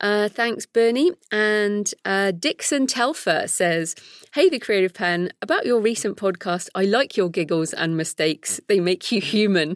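A woman's medium-pitched voice with a British accent. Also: lively intonation, fairly slow pace, dry, close sound with no echo. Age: 40s. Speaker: podcast host and author. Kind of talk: solo podcast intro; interview.

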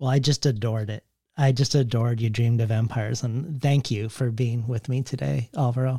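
Somewhat breathy and dark, mellow in tone, a man speaks at a fairly quick pace and medium pitch. His pitch variation is ordinary, in a very clean recording with a silent background. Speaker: podcast host. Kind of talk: interview conversation with read intro.

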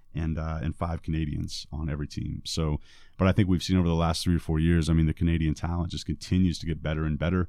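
Over a quiet background, a man with an American accent talks at a very fast pace in a very deep, low, dark and mellow voice with flat, monotone intonation. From US Northeast, Vermont. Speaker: basketball head coach. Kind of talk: interview. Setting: studio.

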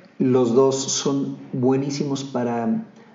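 Noticeable background noise and audible room echo accompany a man speaking with ordinary pitch variation. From Mexico, Monterrey. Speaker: actor. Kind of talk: interview.

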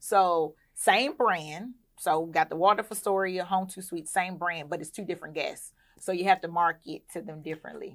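Very clean and silent in the background, this recording features a woman with a plain, everyday voice and an American accent. Her fairly low pitch shows ordinary variation at a moderate pace, with big swings in loudness. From US South, Clayton County, Georgia. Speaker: hotel owner and investment platform CEO. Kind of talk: casual interview.

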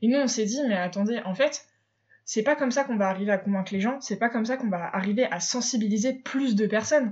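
At a very fast pace, a woman speaks in a fairly high pitch, somewhat breathy, with ordinary pitch variation. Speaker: podcast host, eco blogger. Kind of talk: casual monologue. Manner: hesitant, many filler sounds.

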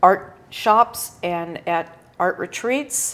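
A woman speaks at a medium pitch. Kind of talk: casual interview. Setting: live video stream.

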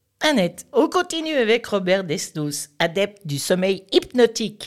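A woman talks at a moderate pace. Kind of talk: radio chronicle, introducing a poem.

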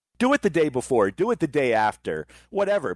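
Talking at a very fast pace with an American accent, a man sounds dry and close with no echo over a quiet background. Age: 50s. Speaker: wrestling podcast host, guest co-host. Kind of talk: casual chat.

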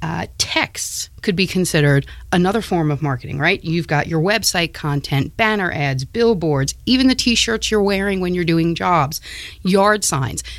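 A woman's fairly low voice with an American accent, a normal speaking voice, lively intonation and a fairly slow pace. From New York. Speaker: marketing specialist. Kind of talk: interview.

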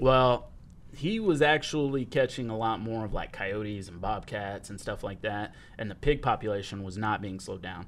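A man's normal speaking voice with an American accent, fairly low in pitch with ordinary pitch variation, at a moderate pace and with big swings in loudness. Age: 20s. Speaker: podcast host. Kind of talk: casual chat. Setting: studio.

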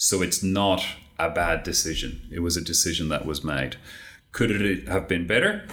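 With an Australian accent, a man speaks at a moderate pace with a very deep, low pitch and fairly even intonation, and audible room echo. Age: 50s. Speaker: tax software consultant. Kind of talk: interview.

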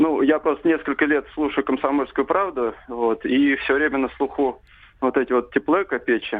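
The man's pitch sits fairly high, with ordinary variation in it. He talks at a moderate pace, and his loudness stays very even. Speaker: caller. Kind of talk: phone-in call. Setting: phone call. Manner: halting.

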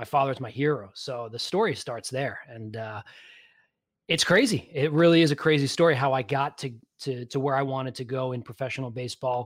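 Here a man speaks with a New York accent at a medium pitch. He goes at a fairly quick pace with ordinary pitch variation. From New York (Long Island). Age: 30s. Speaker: physical therapist and podcaster. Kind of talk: casual interview chat. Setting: video call.

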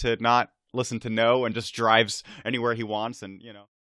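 A man talks in an unremarkable speaking voice at a moderate pace. The background is quiet. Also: dry, close sound with no echo. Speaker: history podcaster. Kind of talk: interview. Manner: casual, informal.

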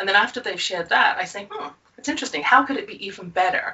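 Amid noticeable background noise, a woman talks with very wide swings in pitch. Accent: English. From England. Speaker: confidence coach and author. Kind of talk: interview, conversational.

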